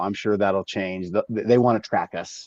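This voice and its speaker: Heard with a dry, close sound and no echo, a man with an American accent talks at a moderate pace in a fairly low pitch with ordinary pitch variation. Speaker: cannabis grow show host. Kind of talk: casual chat. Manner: quieter than usual.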